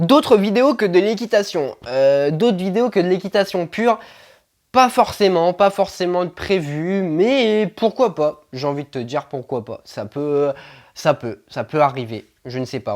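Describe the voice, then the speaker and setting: A man with a high pitch speaks with very wide pitch swings and big swings in loudness. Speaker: equestrian vlogger. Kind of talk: casual vlog Q&A. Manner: stumbling, halting with many fillers.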